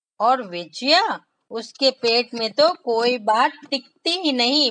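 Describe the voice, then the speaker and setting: A woman's raised, projected voice sits high in pitch, with a bright, sharp tone and lively intonation. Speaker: storyteller for children. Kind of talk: children's read story. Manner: expressive, voice modulation.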